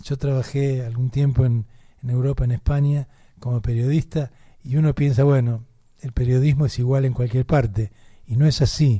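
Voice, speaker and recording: A man's medium-pitched, somewhat breathy voice with a dark, mellow tone, a Rioplatense accent, fairly even intonation and a moderate pace. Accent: Argentine Rioplatense Spanish. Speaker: radio host. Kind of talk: radio interview. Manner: repetitive stammering false starts.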